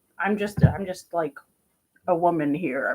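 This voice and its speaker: A woman in a New Jersey accent talks at a moderate pace. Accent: New Jersey American. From New Jersey, US. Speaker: vlogger. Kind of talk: casual vlog monologue. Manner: rambling with many fillers.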